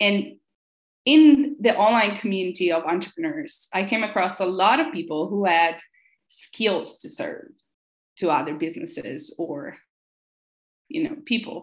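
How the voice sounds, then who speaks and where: A somewhat breathy voice at a fairly slow pace, with very wide pitch swings and long, frequent pauses. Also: woman, medium pitch for a woman. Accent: Italian. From northern Italy. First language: Italian. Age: young. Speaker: social media and admin consultant. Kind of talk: interview.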